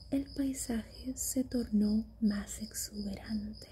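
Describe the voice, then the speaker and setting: Soft-spoken and with a calm, warm tone, a woman talks at a very slow pace. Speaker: ASMR reader. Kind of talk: sleep story audiobook reading. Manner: soft-spoken, calm, warm.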